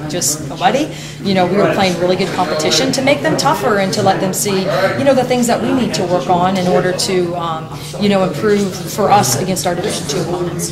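With music playing in the background, a woman talks at a fairly quick pace. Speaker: head basketball coach. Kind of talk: interview answer. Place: studio.

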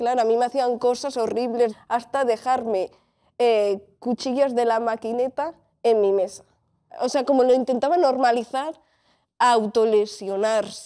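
A woman with a high voice speaks in a dark, mellow tone at very even loudness over a quiet background. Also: fairly even intonation, fairly slow pace. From Spain, Catalonia (Tarragona, El Vendrell); Catalonia. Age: 20s. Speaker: bullying survivor; interview guest. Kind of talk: testimony. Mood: serious, emotional, reflective. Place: studio. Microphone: lapel.

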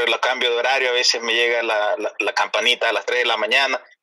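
A man is speaking. He goes at a very fast pace. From El Salvador. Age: 40s. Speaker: caller. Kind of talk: casual chat.

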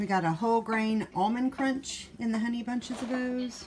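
At a fairly slow pace, a woman talks while noticeable background noise carries on behind her. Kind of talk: casual haul vlog chat. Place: home room. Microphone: phone near.

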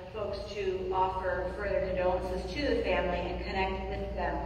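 A woman is heard with strong room echo and light background noise. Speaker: pastor giving announcements. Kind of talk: church announcements. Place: church.

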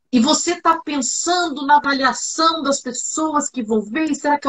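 A woman speaks at a high pitch against a quiet background. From Brazil. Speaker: TV journalist and communication trainer; TV journalist, communication trainer. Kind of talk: interview, casual chat. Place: home room.

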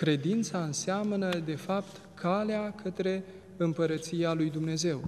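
A man speaks at a very slow pace. His pitch is high, with light background noise behind him. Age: young. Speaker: Orthodox priest. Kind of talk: religious TV interview. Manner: formal. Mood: calm, reflective. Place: church.

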